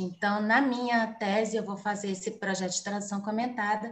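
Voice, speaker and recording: Audible room echo hangs on the voice. A woman talks at a moderate pace. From São Paulo, Brazil. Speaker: journalist and doctoral student giving a guest lecture. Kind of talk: online lecture.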